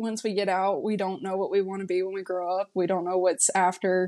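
On a very clean recording with a silent background, a woman with a North Carolina accent speaks at a medium pitch in a monotone, flat intonation. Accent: Southern US, North Carolina. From rural North Carolina. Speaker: market research specialist, Marine veteran. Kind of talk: casual interview.

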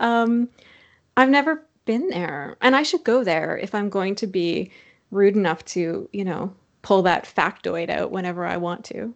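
Over a quiet background, a woman with an unremarkable speaking voice talks at a fairly slow pace and medium pitch, with lively intonation. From Saskatchewan, Canada. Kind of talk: casual interview.

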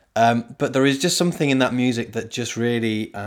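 It is a plain, everyday voice, a man at medium pitch. He talks at a fairly quick pace with ordinary pitch variation. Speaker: podcast host and singing leader. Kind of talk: podcast interview.

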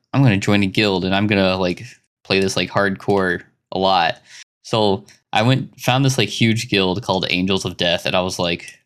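On a very clean recording with a silent background, a man with an American accent uses an ordinary speaking voice at a fairly low pitch, talking at a fairly quick pace with ordinary pitch variation. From Arkansas, US South. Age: 20s. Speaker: podcast host. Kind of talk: casual chat.

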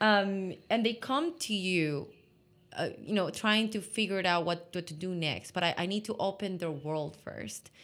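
In a very clean recording with a silent background, a woman with an ordinary speaking voice talks at a moderate pace in a medium pitch with ordinary pitch variation. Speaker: innovation consultant. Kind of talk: casual interview conversation.

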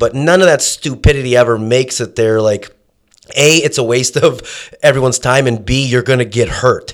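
In a very clean recording with a silent background, a man with an unremarkable speaking voice talks at a fairly quick pace, with a medium pitch and ordinary pitch variation. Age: 30s. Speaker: MMA fighter. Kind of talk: casual chat. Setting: studio.

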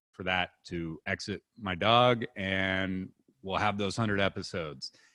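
A man talks at a fairly slow pace in a fairly low pitch, with an ordinary speaking voice. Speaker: podcast host. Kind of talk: comedic podcast banter, reading reviews aloud. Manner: sarcastic, joking.

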